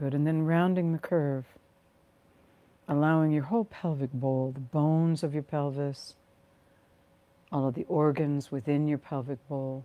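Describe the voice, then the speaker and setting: A woman with an American accent speaks in a very deep, low voice with a dark, mellow, calm tone and fairly even intonation. Long, frequent pauses break up her speech. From Virginia, USA. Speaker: guided meditation teacher and healing practitioner. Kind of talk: guided meditation. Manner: calm, nurturing, slow-paced.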